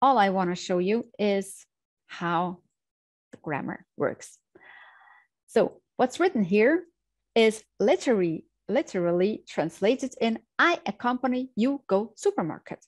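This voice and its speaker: A woman with a non-native accent speaks at a fairly slow pace, leaving long, frequent pauses. Her fairly high pitch swings very widely, the sound dry and close with no echo against a quiet background. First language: German. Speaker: language teacher. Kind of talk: tutorial.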